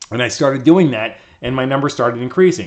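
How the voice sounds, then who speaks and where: This is a man talking. His pace is fairly quick. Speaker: YouTube creator and educator. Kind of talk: screen-recorded tutorial. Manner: fast; casual, filler-heavy.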